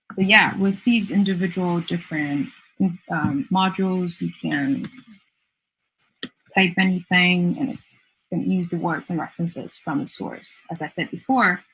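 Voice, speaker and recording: This woman's fairly low pitch moves with ordinary variation as she talks at a moderate pace, leaving long, frequent pauses. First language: not English. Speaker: design student presenting thesis project. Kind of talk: project presentation with demo. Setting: virtual festival, online stream. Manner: hesitant, many fillers.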